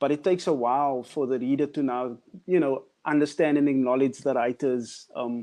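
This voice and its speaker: With a South African accent, a man speaks at a fairly quick pace. His tone is dark and mellow, his intonation fairly even. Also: medium pitch for a man. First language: Afrikaans. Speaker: artist. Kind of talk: panel discussion.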